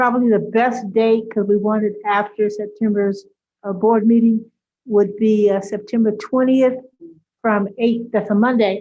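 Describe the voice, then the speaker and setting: This woman speaks in a monotone, with flat intonation and a medium pitch. Her pace is moderate. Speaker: school board member. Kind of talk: board meeting discussion.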